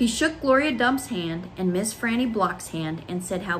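Someone reads aloud in a natural voice, with lively intonation.

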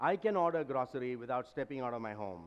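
A man speaks at a fast pace. His intonation is lively. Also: medium pitch for a man.

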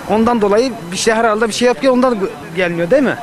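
Speaking at a fairly quick pace with lively intonation, a man is heard in a dry sound with no echo over light background noise. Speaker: passerby. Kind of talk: street interview. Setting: outdoors. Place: street. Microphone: handheld.

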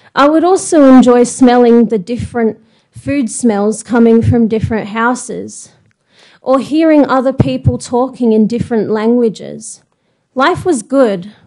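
Speaking at a fairly slow pace, a woman with an Australian accent has a fairly high pitch and ordinary pitch variation. Her tone is dark and mellow. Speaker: blind singer. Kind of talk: prepared speech. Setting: stage with audience.

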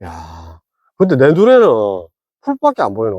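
With a Gyeongsang accent, a man is heard in a very clean recording with a silent background and a dry, close sound with no echo. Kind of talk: casual banter between friends.

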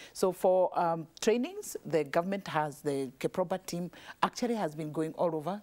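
A woman's fairly low voice with lively intonation and a Kenyan accent. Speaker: leather goods entrepreneur; guest. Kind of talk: TV panel discussion. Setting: TV studio. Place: studio. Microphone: lapel.

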